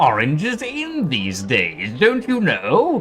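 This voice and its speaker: A man speaks at a very slow pace in a high, put-on character voice. Clear music plays in the background. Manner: snooty, playful.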